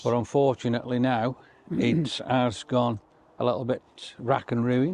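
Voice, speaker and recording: With an unremarkable speaking voice, a man talks at a fairly slow pace and medium pitch, keeping his loudness very even and his intonation fairly even. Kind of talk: casual talk to camera.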